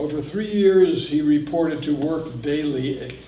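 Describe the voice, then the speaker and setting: A man speaks with a fairly high pitch and fairly even intonation. There is noticeable background noise and audible room echo. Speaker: professional narrator. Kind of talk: talk to a library audience. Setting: library room with live audience, no microphone. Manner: authoritative. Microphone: no microphone.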